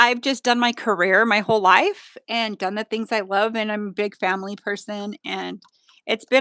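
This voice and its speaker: A woman with a normal speaking voice talks at a moderate pace and a fairly high pitch, the sound dry and close with no echo. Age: 50s. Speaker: nail artist and educator. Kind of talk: live stream tutorial chat.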